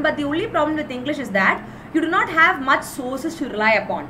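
In a South Indian accent, a woman speaks very fast with a raised, projected voice and lively intonation. Background noise is noticeable. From Kerala, India. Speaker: exam-prep teacher. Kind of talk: live online lecture. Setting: live video stream. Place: home room. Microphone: webcam.

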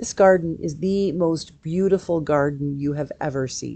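Its tone is dark and mellow, and the pitch varies in an ordinary way. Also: woman. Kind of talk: guided meditation reading. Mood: calm, gentle, soothing. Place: office. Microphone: earbuds.

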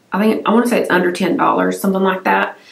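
A woman's voice comes through with audible room echo. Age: 40s. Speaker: beauty YouTuber. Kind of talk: casual vlog-style product review. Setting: home filming room. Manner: relaxed, chatty. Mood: enthusiastic, chatty. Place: home room.

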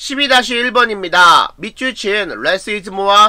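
Against a quiet background, a man with a high, bright and sharp voice projects loudly while speaking at a very slow pace. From South Korea. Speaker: high school English teacher. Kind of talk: lecture. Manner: measured reading of translations. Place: home room.

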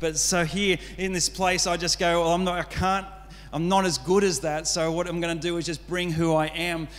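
A man speaks at a fairly quick pace in a fairly high pitch. His pitch moves very little.

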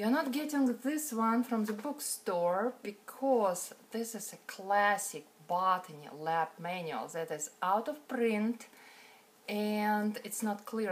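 A woman speaks very slowly with a non-native accent. Her intonation is lively. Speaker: botany instructor. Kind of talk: online class introduction lecture. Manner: casual, hesitant. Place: home room. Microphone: phone near.

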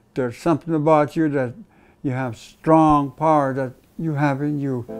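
With music in the background, a man talks at a moderate pace in a fairly high voice with fairly even intonation. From Interior Alaska. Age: 70s. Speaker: guitarist and singer. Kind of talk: interview answer. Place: home room.

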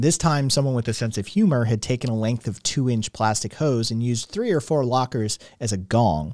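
A passage is read aloud plainly. Its pitch moves up and down in ordinary fashion.

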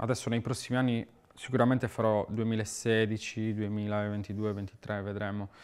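This man speaks at a fairly slow pace, his pitch fairly low. His intonation is flat and monotone. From Sardinia, Italy. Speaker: muralist artist. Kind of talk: interview monologue; interview answer. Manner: halting, repeats words. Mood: calm, reflective. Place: studio.

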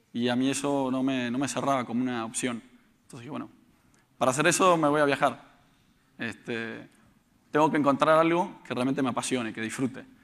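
Loudness swings widely as a man talks at a fairly quick pace with long, frequent pauses. His intonation is fairly even. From Argentina, Buenos Aires. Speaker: startup founder; conference speaker. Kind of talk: conference talk. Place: stage. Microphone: lapel.

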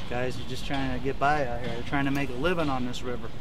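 Background noise is clearly audible behind a man's voice. There is no echo, and the sound is dry. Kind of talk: casual vlog chat. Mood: joking, griping. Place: boat. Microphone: phone near.

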